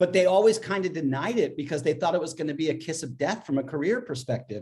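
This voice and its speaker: Using an unremarkable speaking voice with an American accent, a man talks at a fairly high pitch with lively intonation. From US, southern California. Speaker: author and musician. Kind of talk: casual chat.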